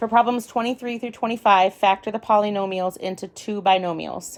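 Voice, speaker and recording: At a moderate pace, a woman with a plain, everyday voice speaks at a medium pitch with fairly even intonation. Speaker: parent or tutor reading an exam aloud. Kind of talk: reading aloud.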